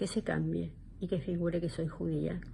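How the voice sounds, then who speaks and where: At a moderate pace, a woman speaks in a fairly low pitch with ordinary pitch variation. Her tone is dark and mellow. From Argentina. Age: 70s. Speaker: psychologist. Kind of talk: interview. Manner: hesitant, many fillers.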